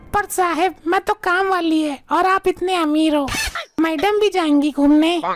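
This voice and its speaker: A cartoonish character voice delivers lines with fairly even intonation and very even loudness, recorded dry and close with no echo. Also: woman, extremely high pitch for a woman, moderate pace. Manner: deferential, addresses employers as sahib and madam.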